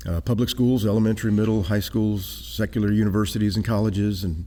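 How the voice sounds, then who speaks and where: A man with a Texan accent and a dark, mellow tone at a very fast pace. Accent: Texan American. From South Texas, San Antonio. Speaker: traveling creationist speaker. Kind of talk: interview. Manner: animated.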